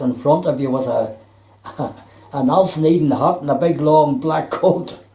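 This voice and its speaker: Amid audible room echo, a man with a Belfast accent speaks at a moderate pace with ordinary pitch variation. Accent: Belfast Northern Irish. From Northern Ireland, Belfast. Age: 80s+. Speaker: retired electrician. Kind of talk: life story interview. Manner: halting.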